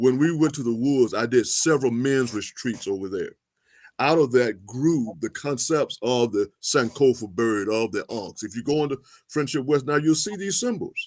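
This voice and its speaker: Very cleanly recorded over a silent background, a man with a plain, everyday voice speaks at a moderate pace in a medium pitch with ordinary pitch variation. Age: 60s. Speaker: historian and activist. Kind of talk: interview.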